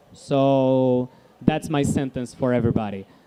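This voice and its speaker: The voice carries a Portuguese accent. It moves at a fairly slow pace. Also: man. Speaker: guest speaker. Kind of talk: live interview.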